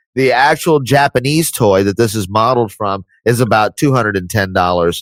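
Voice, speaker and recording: With an American accent, the speaker sounds animated and keeps a fairly quick pace. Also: man. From Florida, US. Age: 50s. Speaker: musician and audio engineer. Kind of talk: podcast interview.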